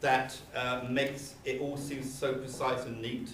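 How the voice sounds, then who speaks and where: A man speaks in a room with audible echo, and noticeable background noise runs underneath. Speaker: law professor. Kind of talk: conference talk. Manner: halting, many fillers and repetitions.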